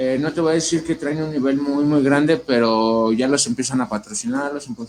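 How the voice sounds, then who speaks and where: A man has a normal speaking voice, fairly high in pitch, with ordinary pitch variation and a moderate pace. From Ecatepec, State of Mexico. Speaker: tattoo artist. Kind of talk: casual interview. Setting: livestream in host's home.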